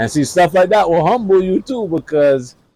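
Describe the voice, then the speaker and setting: With lively intonation and a dark, mellow tone, a man talks in a dry, close recording with no echo. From Jamaica. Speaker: podcast host. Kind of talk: interview.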